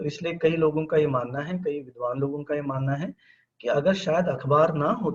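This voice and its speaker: A moderate pace with ordinary pitch variation. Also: man. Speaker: professor of mass communication. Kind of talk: webinar lecture. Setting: online webinar. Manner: halting, with many fillers.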